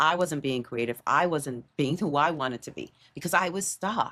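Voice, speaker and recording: In a very clean recording with a silent background, a woman speaks at a very deep, low pitch with ordinary pitch variation. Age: 60s. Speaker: podcast host. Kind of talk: casual chat. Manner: animated.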